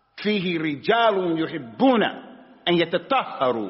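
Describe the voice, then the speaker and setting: Over noticeable background noise, a man with a high-pitched voice speaks at a fairly slow pace. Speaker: Islamic teacher. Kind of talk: religious lesson.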